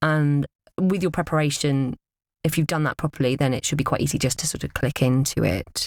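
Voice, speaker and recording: In a very clean recording with a silent background, a woman with a very deep, low pitch speaks at a fairly quick pace with ordinary pitch variation. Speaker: audiobook narrator and voice actor. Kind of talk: interview answer about the craft of narration. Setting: studio.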